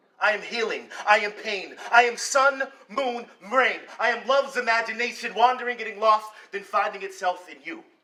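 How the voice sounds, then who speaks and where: A man uses a raised, projected voice at an extremely high pitch and a moderate pace. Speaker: slam poet. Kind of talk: slam poetry performance.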